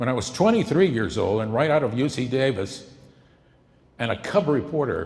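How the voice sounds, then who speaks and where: With lively intonation and a somewhat breathy quality, this man talks at a moderate pace and a medium pitch. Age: 70s. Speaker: political campaign volunteer introducing a documentary. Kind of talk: speech introducing a film screening.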